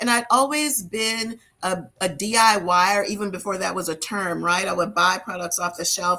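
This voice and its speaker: In an American accent, a woman talks at a moderate pace in a normal speaking voice of medium pitch. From US South, New Orleans. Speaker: entrepreneur. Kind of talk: podcast interview.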